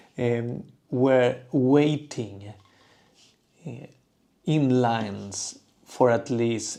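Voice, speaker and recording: With a Spanish accent, a man speaks at a very slow pace. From southern Spain. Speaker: toy artist. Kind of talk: livestream chat. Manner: halting, many fillers.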